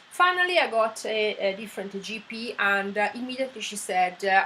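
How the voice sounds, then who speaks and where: Speaking with an Italian accent, a woman keeps a medium pitch, fairly even intonation and a moderate pace. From Italy. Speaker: vlogger. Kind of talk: personal story monologue. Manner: hesitant, many fillers.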